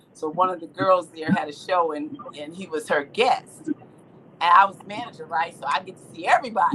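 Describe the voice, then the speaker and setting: Over noticeable background noise, a woman with a fairly low voice speaks at a moderate pace with hardly any pauses, lively intonation and big swings in loudness. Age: 60s. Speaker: livestream host. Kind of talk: casual chat. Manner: animated.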